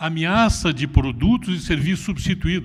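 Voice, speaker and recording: This man speaks with a fairly high pitch. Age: 60s. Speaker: retired business executive. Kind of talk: conference talk.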